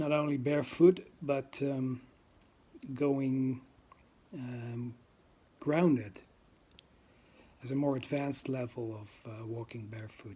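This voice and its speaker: Very slow and broken by long, frequent pauses, a man's dark, mellow voice at medium pitch carries a Dutch accent, fairly even intonation and big swings in loudness. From Netherlands. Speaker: vlogger. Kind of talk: casual monologue. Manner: halting, many fillers.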